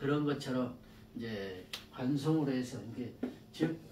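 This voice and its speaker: Someone speaks at a fairly slow pace, with audible echo from the room. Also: man. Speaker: saju fortune-telling lecturer. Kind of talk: lecture. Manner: halting, many fillers and repetitions.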